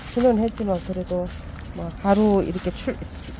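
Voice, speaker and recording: A woman speaks over noticeable background noise. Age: 50s. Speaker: interviewee. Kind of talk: interview.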